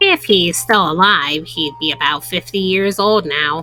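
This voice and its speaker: A woman does a put-on character voice at a fairly low pitch. She talks at a moderate pace with ordinary pitch variation. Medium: game stream. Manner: reserved, formal.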